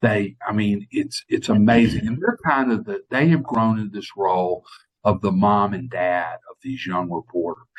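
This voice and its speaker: A man with a normal speaking voice talks at a moderate pace in a fairly low pitch, with ordinary pitch variation and a dry, close sound with no echo. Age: 60s. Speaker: TV news reporter. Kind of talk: interview.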